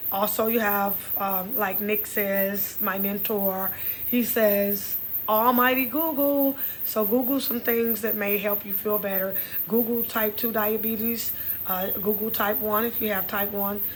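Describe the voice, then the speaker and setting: In a Texas accent, a woman speaks at a fairly slow pace. Her pitch is fairly high and her intonation fairly even. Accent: Texas twang. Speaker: podcast host. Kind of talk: casual health talk monologue. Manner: conversational, repetitive.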